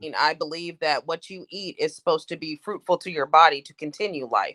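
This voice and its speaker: A woman with a normal speaking voice and fairly low pitch talks at a fairly quick pace with fairly even intonation. Her loudness swings widely, and the sound is dry and close with no echo. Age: 20s. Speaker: poet and activist. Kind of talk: casual debate.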